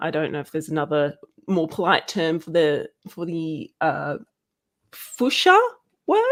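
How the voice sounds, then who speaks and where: With an Australian accent, a woman speaks at a moderate pace and a fairly low pitch, using ordinary pitch variation, big swings in loudness, and long, frequent pauses. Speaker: guest co-host. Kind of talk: live stream discussion. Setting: live stream video call. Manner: halting, many fillers.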